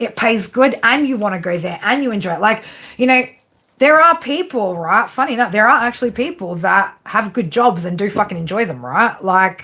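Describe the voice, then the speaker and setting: A woman with an Australian accent talks at a moderate pace in a bright, sharp, fairly high voice with very wide pitch swings. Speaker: tarot reader. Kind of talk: live stream reading with chat. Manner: casual, filler-heavy.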